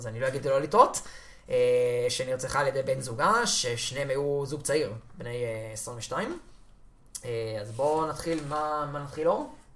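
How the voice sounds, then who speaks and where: The pace here is fairly slow. Long pauses come often. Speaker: podcast host. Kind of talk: casual chat.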